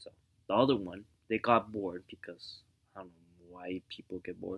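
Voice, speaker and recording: A man speaks quietly at a moderate pace. His voice is fairly low-pitched, with fairly even intonation. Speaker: vlogger giving relationship advice. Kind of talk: casual monologue. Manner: speaking quietly; halting, repetitive.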